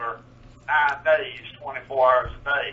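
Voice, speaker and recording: A man speaks with an eastern North Carolina accent at a fairly slow pace and with fairly even intonation. Noticeable background noise is present. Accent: rural eastern North Carolina dialect. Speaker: historical demonstrator. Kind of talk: radio interview.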